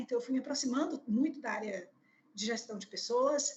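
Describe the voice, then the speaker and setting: The voice is a woman's. It sits fairly high in pitch. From Bahia, Brazil (Salvador). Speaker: HR executive. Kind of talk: interview. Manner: hesitant, many fillers.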